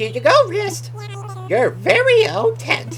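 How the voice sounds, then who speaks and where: A put-on character voice moves at a fairly slow pace with clear music in the background. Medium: game stream. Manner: upbeat, polite.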